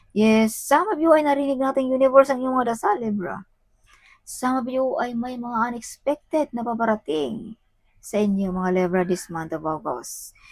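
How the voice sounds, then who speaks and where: A woman speaks at a moderate pace in a high voice, her intonation lively. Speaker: tarot reader. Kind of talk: tarot reading. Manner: animated.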